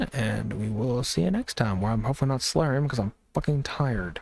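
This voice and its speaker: The sound is dry and close with no echo as a man speaks at a very fast pace with ordinary pitch variation. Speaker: podcast and stream co-host. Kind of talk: casual chat. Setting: live stream. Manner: slurred speech.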